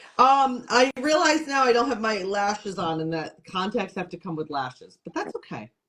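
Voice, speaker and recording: A woman with an American accent speaks at a fairly high pitch and a moderate pace, her pitch swinging very widely and her loudness shifting greatly, with hardly any pauses. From upstate New York, Syracuse. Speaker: comedian and television host. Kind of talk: casual interview chat.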